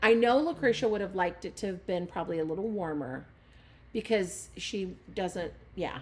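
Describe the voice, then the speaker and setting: At a moderate pace, the speaker uses a normal speaking voice with lively intonation. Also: woman, medium pitch for a woman. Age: 40s. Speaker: podcast host. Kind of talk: casual chat.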